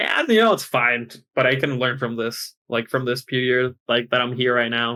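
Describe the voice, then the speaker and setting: Speaking at a fairly quick pace, a man uses a medium pitch and an American accent. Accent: American-sounding English. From Chile. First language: Spanish. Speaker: esports player. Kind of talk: podcast interview. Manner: halting.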